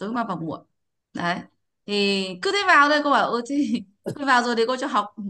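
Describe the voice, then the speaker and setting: Her voice high and her tone bright, sharp and animated, a woman speaks at a fairly slow pace with very wide pitch swings. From Vietnam. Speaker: English pronunciation teacher. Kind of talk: online class lesson. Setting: video call. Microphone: video call.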